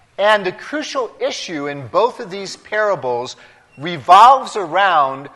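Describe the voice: The speaker is doing plain reading aloud. Nothing else stands out.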